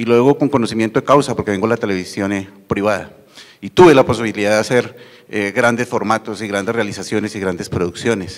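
An unremarkable speaking voice, this man talks at a fairly low pitch with fairly even intonation. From Colombia. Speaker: university TV channel manager; panelist. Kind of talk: conference panel talk. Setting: university auditorium with audience. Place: hall. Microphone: handheld.

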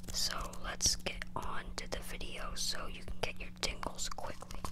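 The speech moves at a very slow pace. Noticeable background noise is present. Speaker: ASMR creator. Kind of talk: ASMR video. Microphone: phone near.

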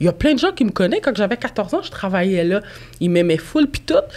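A woman speaks in a Quebec accent. Her pitch swings very widely. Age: 20s. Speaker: real estate broker and podcast host; podcast host. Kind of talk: casual chat. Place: studio. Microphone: studio mic.

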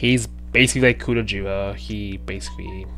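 A man speaks with music playing in the background. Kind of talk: casual vlog chat. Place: home room. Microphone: headset.

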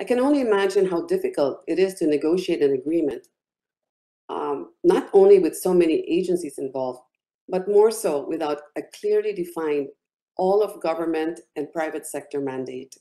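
A woman's fairly low voice, dark and mellow in tone, with lively intonation at a moderate pace over a quiet background. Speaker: business executive; business council representative, panel commenter. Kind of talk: panel commentary. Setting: video call. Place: home room. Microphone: webcam.

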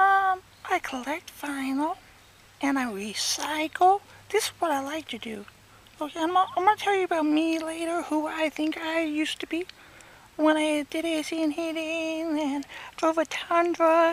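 A cartoonish character voice, high in pitch, moves at a moderate pace. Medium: puppet. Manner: rambling, self-absorbed.

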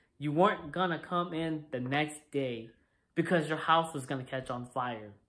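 In a quiet setting, a man talks. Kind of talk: comedic acted dialogue. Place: home room. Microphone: phone near.

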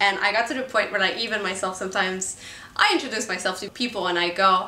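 A woman with a French Canadian accent at a very fast pace, energetic in tone, ordinary in pitch variation, amid audible room echo. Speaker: indie filmmaker. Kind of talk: casual talk to camera. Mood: amused, expressive. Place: home room.

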